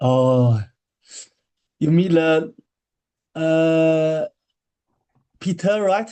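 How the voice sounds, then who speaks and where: Very slowly and with long, frequent pauses, a man speaks in a Chinese accent, his fairly high pitch carrying a dark, mellow tone. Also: ordinary pitch variation. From China. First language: Mandarin Chinese. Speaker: marathon swimmer. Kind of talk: interview. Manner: halting, many repetitions.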